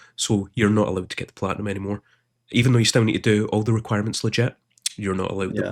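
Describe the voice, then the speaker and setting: A man puts on a character voice that is hoarse and husky, pitched fairly low. He races along at a very fast pace in a monotone, flat delivery. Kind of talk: casual, frustrated gamer.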